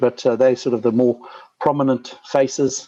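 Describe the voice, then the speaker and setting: With a Zimbabwean accent, a man talks at a fairly quick pace in a dark, mellow tone, the sound dry and close with no echo. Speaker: mining company CEO. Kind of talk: investor presentation. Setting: conference call. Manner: frequent fillers and repetitions.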